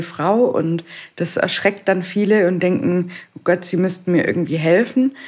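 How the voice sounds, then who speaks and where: In an ordinary speaking voice, a woman talks with ordinary pitch variation at a medium pitch. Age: 20s. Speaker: stonemason and stone sculptor. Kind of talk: casual interview.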